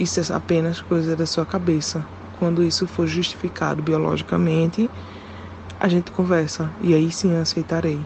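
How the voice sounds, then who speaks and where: A woman speaks at a moderate pace with a fairly low pitch, flat monotone intonation and very even loudness over noticeable background noise. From Pernambuco, Brazil. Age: 20s. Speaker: listener sending a voice message. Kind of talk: recorded voice message.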